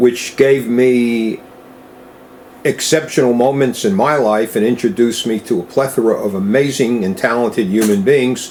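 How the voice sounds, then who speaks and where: With an American accent, a man speaks at medium pitch and a moderate pace, his pitch moving in an ordinary way, over noticeable background noise. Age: 70s. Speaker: rare-coin dealer. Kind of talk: interview. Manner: conversational, with fillers.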